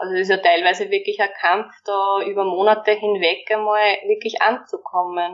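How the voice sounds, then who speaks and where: This woman's intonation is monotone and flat. She keeps a moderate pace. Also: medium pitch for a woman, hardly any pauses. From Austria, Waldviertel (Lower Austria). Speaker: primary school teacher. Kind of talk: interview.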